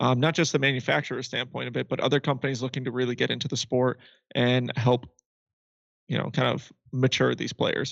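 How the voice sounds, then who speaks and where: A man speaks at a fairly quick pace with monotone, flat intonation and vocal fry. His pitch is medium, and the background is quiet. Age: 20s. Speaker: podcast co-host. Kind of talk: casual chat.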